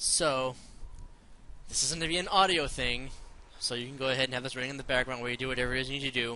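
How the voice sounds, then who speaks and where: Speaking at a very fast pace broken by long, frequent pauses, a man keeps a medium pitch and fairly even intonation. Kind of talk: casual commentary talk. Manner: rambling, hesitant, many repeated words.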